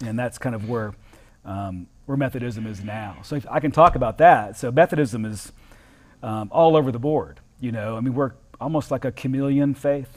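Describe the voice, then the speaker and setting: A man with an American accent speaks in an ordinary speaking voice at a medium pitch and a moderate pace, with ordinary pitch variation. His loudness swings a lot on a very clean recording with a silent background. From US South, southern Florida. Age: 40s. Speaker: Methodist pastor. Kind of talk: casual interview.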